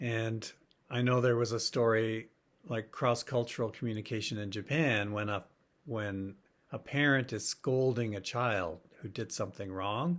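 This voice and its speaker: Speaking with a Canadian accent, a man talks at a moderate pace and medium pitch with ordinary pitch variation. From Canada (Ontario, Alberta). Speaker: professor. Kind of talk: lecture. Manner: hesitant, with fillers.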